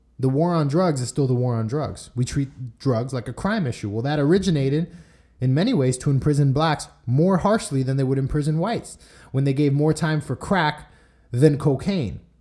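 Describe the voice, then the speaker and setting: A man's somewhat breathy voice, dark and mellow in tone, with an American accent, on a very clean recording with a silent background. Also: fairly high pitch for a man, ordinary pitch variation, moderate pace. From Miami, Florida (Cuban American). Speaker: podcast host. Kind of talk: solo commentary monologue.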